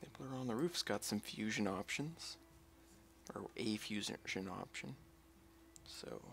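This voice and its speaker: A man's relaxed, fairly low voice with vocal fry, very wide pitch swings, long, frequent pauses and a fairly slow pace. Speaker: gaming streamer. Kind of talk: live gameplay commentary. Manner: sometimes whispering; relaxed, musing.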